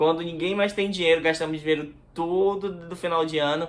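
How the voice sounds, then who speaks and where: A man with a Manaus accent, fairly high-pitched and fairly quick in pace. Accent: Manaus accent, strong hissing S. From Brazil, Manaus (Amazonas). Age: 20s. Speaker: YouTuber. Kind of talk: casual vlog talk to camera. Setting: bedroom near the street.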